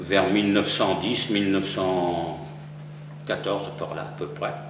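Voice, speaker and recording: A fairly slow pace amid noticeable background noise and audible room echo. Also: man. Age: 70s. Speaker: retired mason, local historian. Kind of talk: interview. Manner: hesitant, with fillers.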